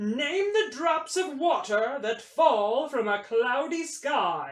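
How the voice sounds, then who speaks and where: A put-on character voice, high in pitch and very slow. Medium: read story. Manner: formal.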